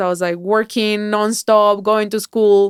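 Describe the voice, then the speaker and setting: A woman with a Spanish accent at a moderate pace, in a dry, close sound with no echo. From Colombia. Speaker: mindset coach and keynote speaker. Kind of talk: podcast interview.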